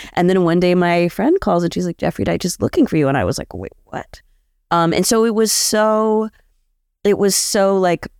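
A woman with a normal speaking voice, medium pitch and ordinary pitch variation. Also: dry, close sound with no echo. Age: 40s. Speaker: street artist. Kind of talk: live interview. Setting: live event in Aberdeen. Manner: casual, filler-heavy.

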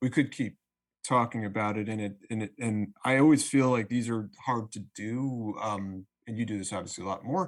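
A man speaks in an ordinary speaking voice at a moderate pace and medium pitch, with ordinary pitch variation. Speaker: label founder. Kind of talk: casual chat.

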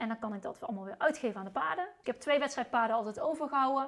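This woman has a high voice with ordinary pitch variation. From Netherlands, North Brabant (Uden). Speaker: sales trainer and former equestrian rider. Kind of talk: casual interview chat. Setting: at the host's home.

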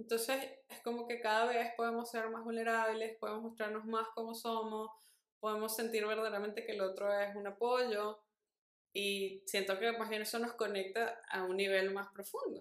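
With a fairly high pitch, a woman delivers her words in a monotone, flat intonation. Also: moderate pace. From Venezuela. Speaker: podcast co-host. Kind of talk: casual chat.

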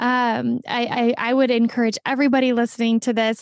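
A woman's high-pitched, enthusiastic voice, dry and close with no echo, on a very clean recording with a silent background. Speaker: podcast host and therapist. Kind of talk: casual interview.

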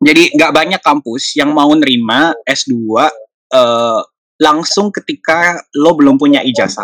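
A man's fairly high voice at a very slow pace, with hardly any pauses, very even loudness and ordinary pitch variation, in a dry, close sound with no echo. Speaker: university lecturer. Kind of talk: casual interview.

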